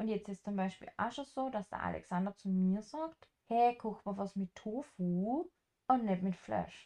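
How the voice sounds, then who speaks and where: With a dark, mellow tone, a woman speaks at medium pitch and a moderate pace. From rural farm upbringing, German-speaking. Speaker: travel podcast co-host and house sitter. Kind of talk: casual chat.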